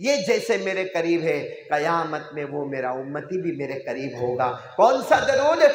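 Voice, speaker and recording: A man talks at a very slow pace, with audible room echo and noticeable background noise around him. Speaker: Islamic preacher. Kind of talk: sermon. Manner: animated.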